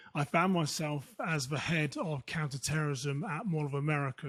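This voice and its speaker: Somewhat breathy and with a British accent, the speaker goes at a fairly quick pace with fairly even intonation in a very clean recording with a silent background. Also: man. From United Kingdom. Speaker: security consultant. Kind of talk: interview.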